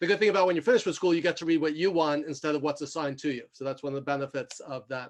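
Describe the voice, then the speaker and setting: A fairly high-pitched man with a New York accent. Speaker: executive coach and mentor. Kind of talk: self-introduction in video call roundtable. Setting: video call. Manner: fast.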